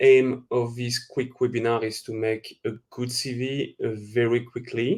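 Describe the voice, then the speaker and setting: A man speaks in a French accent. His intonation is monotone and flat, and his pace is fairly slow. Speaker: recruitment webinar presenter. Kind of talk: webinar presentation. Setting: online webinar. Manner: hesitant, many fillers.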